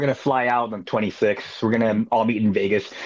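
A man's voice over noticeable background noise. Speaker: touring musician. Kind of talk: casual chat.

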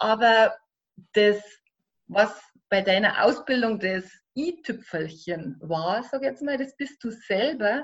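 A woman's fairly high, somewhat breathy voice, very slow, with long and frequent pauses and lively intonation. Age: 40s. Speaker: life coach. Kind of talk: interview.

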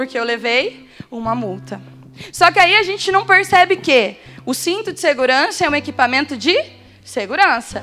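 A woman with a high pitch uses a raised, projected voice with very wide pitch swings and an animated, warm tone. She keeps a moderate pace over noticeable background noise. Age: 20s. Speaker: lay preacher at prayer group. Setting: prayer group meeting with live audience. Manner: animated, warm and jokey, with rhetorical questions and direct address to the crowd.

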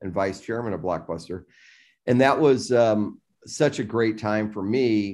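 Against a quiet background, a man with an American accent talks at a moderate pace with fairly even intonation. It is an ordinary speaking voice. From US Midwest, south Chicago suburbs. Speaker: tech company founder and CEO. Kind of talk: interview.

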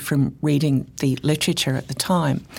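A woman with an English accent talks at a fairly quick pace with vocal fry. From England. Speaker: chemistry professor. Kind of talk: interview.

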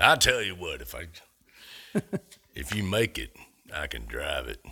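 Using a put-on character voice, a man sounds raspy and goes at a fairly slow pace. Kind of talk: folksy, casual.

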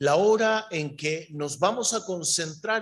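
Speaking very slowly, a man uses a high-pitched, bright, sharp tone with lively intonation. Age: 50s. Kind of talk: sermon.

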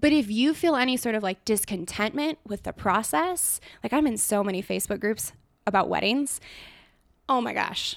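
The recording is very clean with a silent background. A woman with an American accent uses an unremarkable speaking voice, fairly high with lively intonation, at a moderate pace. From California, Truckee. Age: 20s. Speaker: elopement photographer. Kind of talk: casual chat.

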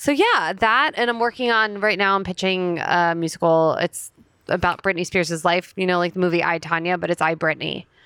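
Fairly low female voice with an American accent, a bright, sharp tone, moderate pace, ordinary pitch variation and very even loudness. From New Jersey, US (Princeton Junction). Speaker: stand-up comedian. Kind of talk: casual chat.

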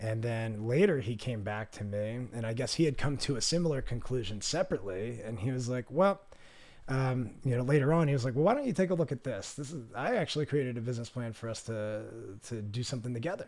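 A man with an American accent at medium pitch, talking at a very fast pace with lively intonation. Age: 30s. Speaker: entrepreneur and skydiver. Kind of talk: casual chat.

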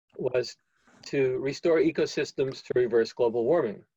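A man's somewhat breathy, dark, mellow voice sits at a medium pitch with fairly even intonation and moderate pace, in a dry, close sound with no echo. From US Northeast, New York City. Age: 70s. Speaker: climate nonprofit director. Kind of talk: interview conversation.

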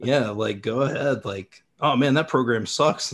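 A man's plain, everyday voice at medium pitch, with fairly even intonation against a quiet background. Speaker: language learner, content creator. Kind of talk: casual chat.

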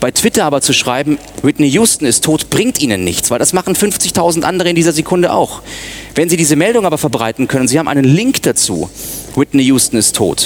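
A man talks at a fairly quick pace with a fairly high pitch and very wide pitch swings. Noticeable background noise runs underneath. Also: very even loudness. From Munich, Bavaria. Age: 30s. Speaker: media consultant and former radio newsreader. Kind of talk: conference talk.

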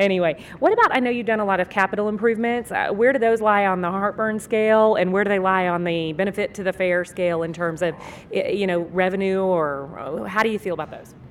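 A woman with a plain, everyday voice at medium pitch, ordinary pitch variation, a fairly quick pace and hardly any pauses. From Texas. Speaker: podcast host, marketing business owner. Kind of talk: interview. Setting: convention booth.

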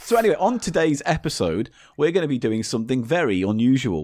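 The speaker is male. His pitch swings very widely as he moves at a fairly quick pace. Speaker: podcast host. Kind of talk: casual chat. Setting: remote recording.

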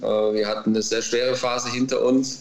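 Amid noticeable background noise, a man talks at a fairly slow pace with ordinary pitch variation. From Baden-Württemberg, near Heidelberg. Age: 40s. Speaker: former footballer, racehorse trainer. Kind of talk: interview. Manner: hesitant with many fillers.

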